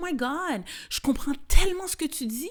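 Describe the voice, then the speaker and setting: A woman is speaking. Her tone is animated. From Quebec. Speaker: podcast host and comedian. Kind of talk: casual podcast monologue. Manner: animated, franglais code-switching.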